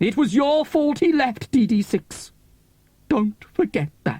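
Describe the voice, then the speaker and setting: A man puts on a character voice with extremely high pitch and very wide pitch swings, speaking at a fairly slow pace with very even loudness in a dry, close sound with no echo. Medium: read story. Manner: gushing, melodramatic, calls listener "beloved".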